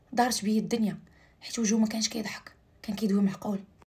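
A woman speaks with a fairly high pitch. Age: 20s. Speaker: storyteller. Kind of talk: narrated personal story. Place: home room. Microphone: phone near.

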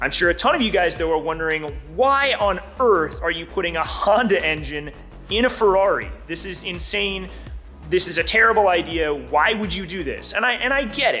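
Faint music sits behind the voice. A man talks at a moderate speed. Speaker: car builder vlogger. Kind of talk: casual vlog chat. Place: workshop. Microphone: phone near.

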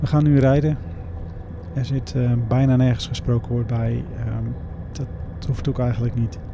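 There is noticeable background noise but a dry sound with no echo as a man speaks at a moderate pace with ordinary pitch variation. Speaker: motorcycle vlogger. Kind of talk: casual vlog chat. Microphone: helmet.

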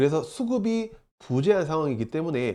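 Against a quiet background, a man with a dark, mellow tone speaks at a moderate pace with very wide pitch swings. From South Korea, Daegu. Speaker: stock market YouTuber, office-worker trader. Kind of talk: market commentary monologue. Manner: formal.

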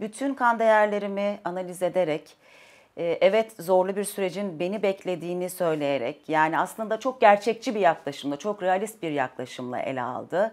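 A woman speaks with lively intonation. Her pace is moderate. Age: 40s. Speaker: dietitian client; interviewee. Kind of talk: testimony. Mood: calm, positive, reflective. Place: home room.

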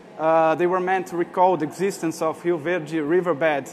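This man has a Portuguese accent and a high pitch. He talks at a moderate pace in a flat monotone over light background noise. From Brazil. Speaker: artist. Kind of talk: conference talk. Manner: halting. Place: hall.

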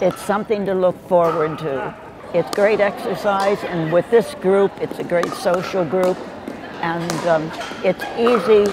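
Amid noticeable background noise, a woman talks at a fairly slow pace and medium pitch with ordinary pitch variation, the sound dry with no echo. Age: 80s+. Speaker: pickleball player. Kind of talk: interview answer. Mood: warm, cheerful. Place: hall. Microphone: lapel.

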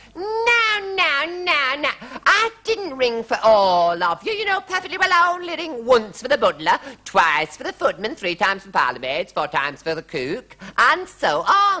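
This put-on character voice has a bright, sharp tone and very wide pitch swings, going at a fairly slow pace with few pauses.

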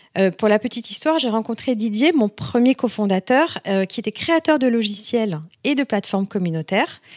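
Very wide pitch swings at a moderate pace from a woman with a fairly high pitch. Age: 40s. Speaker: entrepreneur, founder of a beauty review website. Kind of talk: podcast interview.

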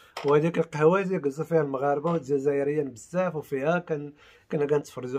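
With a Moroccan accent, a man speaks in an animated tone at a fairly high pitch. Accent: Moroccan Arabic (Darija). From Morocco. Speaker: YouTuber. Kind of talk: video commentary. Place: home room. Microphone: phone near.

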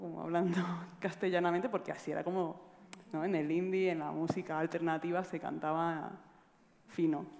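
At a fairly quick pace, a woman speaks with fairly even intonation and a fairly low pitch. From Granada, Andalusia. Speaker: musician. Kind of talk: panel discussion. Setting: stage with audience. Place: stage. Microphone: headset.

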